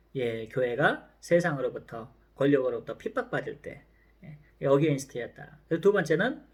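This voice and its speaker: A man with a fairly high voice speaks with lively intonation and a somewhat breathy quality. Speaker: professor. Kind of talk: lecture. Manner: slow.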